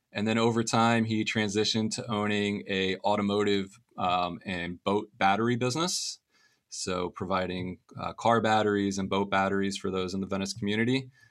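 With an American accent, a man speaks in an ordinary speaking voice at a fairly low pitch and moderate pace. His intonation is fairly even, and the recording is very clean with a silent background. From US South, Florida Gulf Coast. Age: 30s. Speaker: finance professor. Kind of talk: interview.

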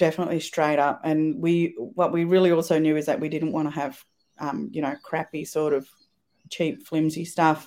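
At a moderate pace, a woman with an Australian accent speaks in a very deep, low pitch with a dark, mellow tone and fairly even intonation, in a very clean recording with a silent background. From rural Victoria, Australia (Swan Hill area, Murray border). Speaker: business founder. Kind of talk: casual interview.

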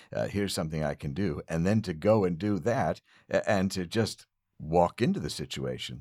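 Recorded very cleanly against a silent background, with a dry, close sound and no echo, a man speaks with a very deep, low pitch, vocal fry, ordinary pitch variation and a moderate pace. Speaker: podcast host. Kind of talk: casual interview; scripted comedic monologue. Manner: hesitant, many fillers.

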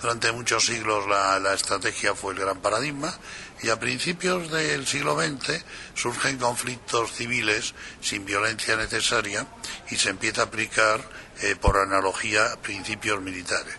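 Amid noticeable background noise, a man talks at a fairly slow pace with lively intonation. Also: fairly low pitch for a man. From Spain. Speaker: communication strategy expert. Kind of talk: interview.

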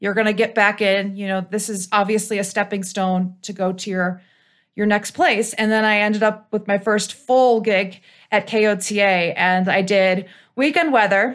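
In a very clean recording with a silent background, a woman speaks with an American accent at a moderate pace. She has an unremarkable speaking voice at medium pitch with fairly even intonation. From US Midwest, Cleveland, Ohio. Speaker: broadcast meteorologist. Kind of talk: interview.

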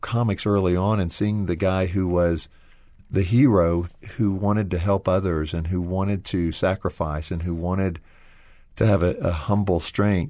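A man's very deep, low voice with a dark, mellow tone, fairly even intonation and a fairly slow pace, on a very clean recording with a silent background. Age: 40s. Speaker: former publishing executive, ministry team member. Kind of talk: interview. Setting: studio.

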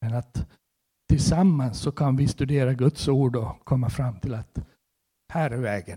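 A man speaks at a fairly slow pace in a medium pitch, with a dark, mellow, somewhat breathy tone and ordinary pitch variation. The sound is dry and close with no echo. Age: 60s. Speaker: preacher. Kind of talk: sermon.

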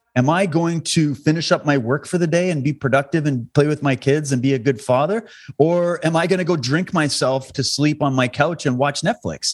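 Speaking at a fairly quick pace with a western Canadian accent, a man keeps his loudness very even and his pitch variation ordinary. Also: fairly high pitch for a man, hardly any pauses. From Canada, Alberta. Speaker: documentary filmmaker and activist. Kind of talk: interview conversation. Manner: animated.

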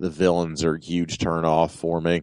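Very deep and low, a man's voice carries a playful tone in a dry, close sound with no echo. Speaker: podcast host and illustrator. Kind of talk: casual banter. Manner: joking, playful.

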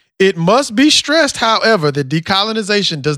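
A man with a slight Southern US accent, high-pitched, with a bright, sharp tone, at a moderate pace, on a very clean recording with a silent background and a dry, close sound with no echo. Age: 30s. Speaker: podcast host. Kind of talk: casual chat, podcast dialogue. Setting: studio.

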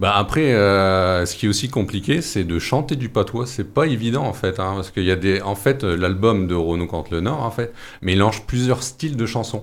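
In an ordinary speaking voice, a man talks at a moderate pace with hardly any pauses. His pitch is fairly low with ordinary variation. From northern France, mining basin. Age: 40s. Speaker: singer and theatre company leader. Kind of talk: radio interview.

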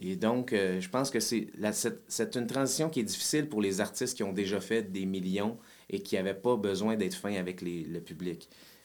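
This man has a normal speaking voice, a fairly low pitch and ordinary pitch variation. He goes at a moderate pace. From Quebec, Saint-Jérôme. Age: 40s. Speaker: musician. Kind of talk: casual chat.

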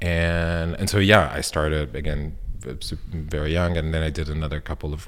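Speaking fairly slowly, a man talks in an Italian accent. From northern Italy, Milan. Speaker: sculptor and installation artist. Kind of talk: casual interview.

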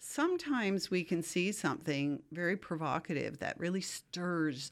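A woman with an unremarkable speaking voice talks at a fairly slow pace with lively intonation and hardly any pauses, in a very clean recording with a silent background. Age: 60s. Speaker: PhD student and artist. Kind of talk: interview.

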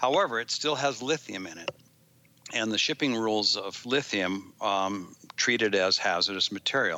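A man speaks in a normal speaking voice at a moderate pace. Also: fairly low pitch for a man, ordinary pitch variation. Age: 60s. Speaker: engineer and product developer. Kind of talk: interview.

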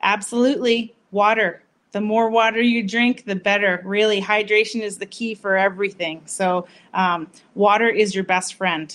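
With a plain, everyday voice, a woman speaks at a moderate pace in a medium pitch and with fairly even intonation. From Massachusetts, US. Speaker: doctor, pelvic health. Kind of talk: short interview.

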